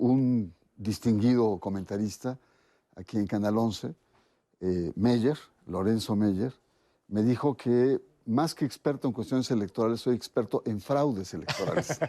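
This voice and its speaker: A man's dark, mellow voice at a fairly slow pace, with very even loudness and long, frequent pauses. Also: medium pitch for a man, ordinary pitch variation, quiet background. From Mexico, Orizaba, Veracruz. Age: 60s. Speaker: sociologist of religion, interview guest. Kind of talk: interview.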